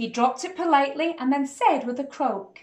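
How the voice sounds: A woman speaks at a moderate pace in a high pitch, her tone slightly mellow and her pitch variation ordinary.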